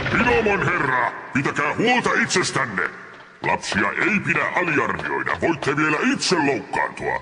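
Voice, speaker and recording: Over clear music in the background, a man puts on a character voice, with a clear echo. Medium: fan dub. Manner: polite, deferential.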